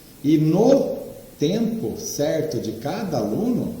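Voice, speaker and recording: Very wide pitch swings with audible room echo and noticeable background noise. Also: man. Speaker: trading mentor. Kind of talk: online lecture. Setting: live online class with screen share.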